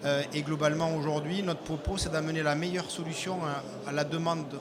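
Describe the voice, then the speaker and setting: With a southwestern French accent, a man speaks at a fairly high pitch with fairly even intonation, against noticeable background noise and audible room echo. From southwest France. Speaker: IT integrator company representative. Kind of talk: business presentation.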